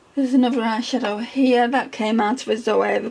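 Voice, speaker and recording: With noticeable background noise behind her, a woman speaks with a British accent and fairly even intonation. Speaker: beauty ASMR creator. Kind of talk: ASMR makeup collection talk. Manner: whispered, soft-spoken.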